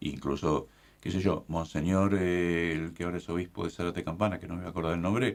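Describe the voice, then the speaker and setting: A man speaks at a very fast pace. His pitch is very deep and low, with fairly even intonation. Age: 60s. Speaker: bishop. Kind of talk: casual chat.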